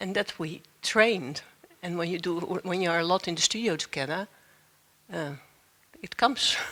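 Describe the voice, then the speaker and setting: A woman with a Dutch accent talks at a moderate pace and a fairly low pitch, with ordinary pitch variation. Her loudness swings a lot, and she leaves long, frequent pauses. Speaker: dancer. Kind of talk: panel discussion. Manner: halting, searching for words.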